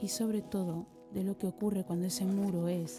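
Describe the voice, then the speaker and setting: Calm tone at a moderate pace, with ordinary pitch variation and music in the background. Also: woman. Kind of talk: reflective voice-over narration.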